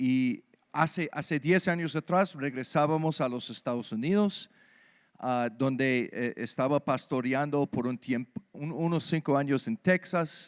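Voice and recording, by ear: In an American accent, a clear, smooth tone moves at a fairly slow pace with ordinary pitch variation. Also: man, medium pitch for a man.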